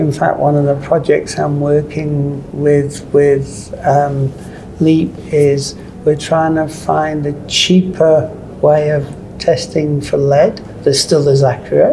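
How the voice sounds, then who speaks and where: Noticeable background noise beneath speech at a very slow pace. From South Africa. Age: 60s. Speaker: paint industry consultant. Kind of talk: interview. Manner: halting.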